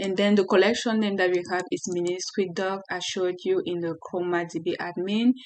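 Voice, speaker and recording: A woman's medium-pitched voice with a French accent and fairly even intonation. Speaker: software developer tutorial creator. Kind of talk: tutorial. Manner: halting.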